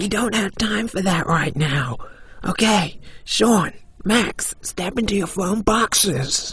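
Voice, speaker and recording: A put-on character voice at a middle pitch, delivered at a fairly slow pace over light background noise. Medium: audio drama.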